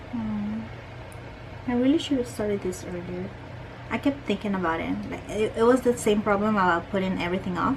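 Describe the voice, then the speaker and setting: The speaker has a strong non-native accent and a fairly quick pace. Long, frequent pauses and noticeable background noise mark the clip. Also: woman. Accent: strong foreign. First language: not English. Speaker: art youtuber. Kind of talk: casual chat while painting. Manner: halting.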